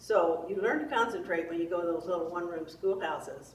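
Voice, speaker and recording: A woman with an American accent and fairly low pitch, at a moderate pace with fairly even intonation, amid audible room echo and noticeable background noise. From US Midwest, Clinton County, Missouri. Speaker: oral history interviewee. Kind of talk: oral history interview. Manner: hesitant, many fillers.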